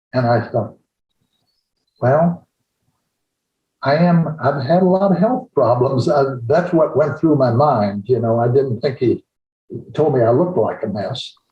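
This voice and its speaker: A man with a fairly high pitch sounds somewhat breathy, with ordinary pitch variation. He speaks at a fairly slow pace with long, frequent pauses. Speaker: retired-age chiropractor. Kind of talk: storytelling interview. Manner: halting.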